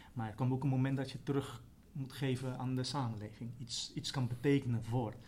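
A man's somewhat breathy, dark and mellow voice at a fairly quick pace, in a flat monotone. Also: medium pitch for a man. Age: 40s. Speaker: trainee primary school teacher. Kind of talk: interview. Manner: halting.

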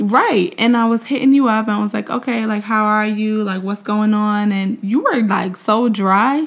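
A woman in a New York accent, fairly high in pitch, at a moderate pace with hardly any pauses and fairly even intonation. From New York (Mount Vernon). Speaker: podcast co-host. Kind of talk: casual chat. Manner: laughs often.

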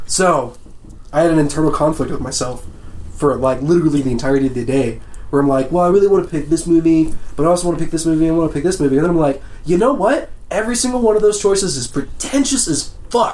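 A man talking very fast in a high voice, with lively intonation over noticeable background noise. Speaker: podcast co-host. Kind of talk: casual banter.

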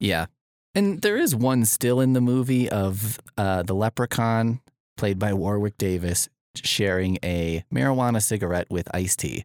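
A man with a plain, everyday voice and a fairly low pitch speaks at a moderate pace with ordinary pitch variation. The recording is very clean, with a silent background and a dry, close sound with no echo. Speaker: podcast host, librarian. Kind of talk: casual chat. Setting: podcast studio. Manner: joking, playful.

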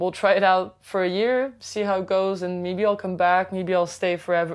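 Against a quiet background, a woman with a Quebec accent speaks at a moderate pace in a fairly low voice with fairly even intonation. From Quebec City. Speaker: DJ and music producer. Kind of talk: interview. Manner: hesitant, filler-heavy.

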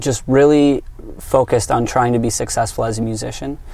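With an American accent, a man speaks at a medium pitch in a monotone, flat way. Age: 20s. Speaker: musician. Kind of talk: interview. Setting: in a van.

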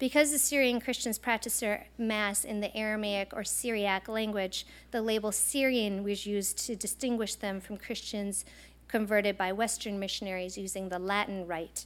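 A woman speaks with an American accent at medium pitch, in an ordinary speaking voice. Her intonation is fairly even and her pace moderate. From eastern Montana, US. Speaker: professor. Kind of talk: lecture.

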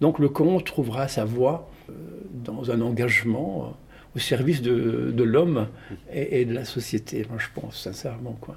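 A man at medium pitch with vocal fry, ordinary pitch variation and a fairly slow pace. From Tunisia (Tunis). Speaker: storyteller and theatre actor. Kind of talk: interview.

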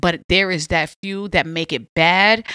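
In a very clean recording with a silent background, a woman with a New York accent speaks at a fairly slow pace in a fairly low pitch, her tone animated, bright and sharp, with ordinary pitch variation. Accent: Queens New York. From Southside Jamaica, Queens, New York City. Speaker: podcast host. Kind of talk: casual chat.

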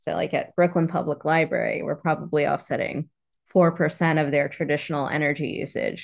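A woman speaks with an American accent at a very deep, low pitch. Her intonation stays fairly even over a quiet background. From New York, then Florida; Caribbean family. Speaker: solar nonprofit director. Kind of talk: interview.

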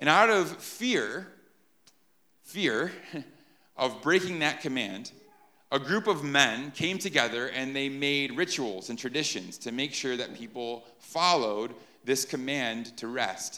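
A man's fairly high, bright, sharp voice with lively intonation at a fairly slow pace, amid audible room echo. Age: 30s. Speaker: pastor. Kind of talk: sermon.

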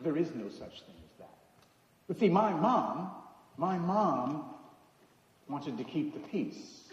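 A high-pitched man with an American accent, very wide pitch swings, big swings in loudness, a fairly slow pace and long, frequent pauses, over noticeable background noise. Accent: American, noticeable to locals. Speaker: preacher. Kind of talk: sermon. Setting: church.

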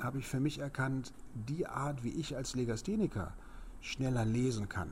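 Audible room echo carries a man's voice, which has ordinary pitch variation. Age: 50s. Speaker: speed reading trainer. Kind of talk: interview.

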